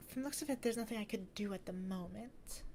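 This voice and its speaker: With lively intonation and a somewhat breathy quality, a woman talks in a fairly high voice. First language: not English. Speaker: gaming streamer. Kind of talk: gameplay commentary.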